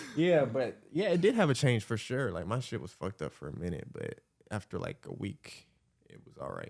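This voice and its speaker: Talking at a fairly quick pace and a medium pitch, a man shows very wide pitch swings, big swings in loudness and vocal fry. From US South, Atlanta, Georgia. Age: 20s. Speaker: YouTuber. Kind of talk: casual chat.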